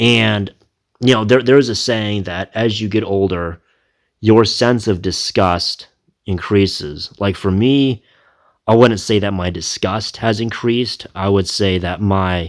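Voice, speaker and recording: The delivery is fairly slow, and the pitch varies in an ordinary way. It is an ordinary speaking voice. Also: man, fairly low pitch for a man. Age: 30s. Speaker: reaction video creator. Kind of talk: casual commentary.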